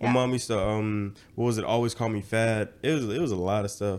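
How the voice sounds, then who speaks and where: His intonation is fairly even. This man speaks in a medium pitch. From US South, rural Georgia. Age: 20s. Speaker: social media content creator. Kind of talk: casual chat.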